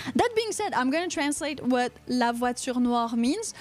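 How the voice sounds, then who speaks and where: In a strong Quebec accent, a woman talks at a moderate pace with a high pitch and lively intonation over noticeable background noise. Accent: thick Quebecois. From Quebec, Canada. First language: French. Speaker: podcast host. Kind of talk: casual chat. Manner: animated.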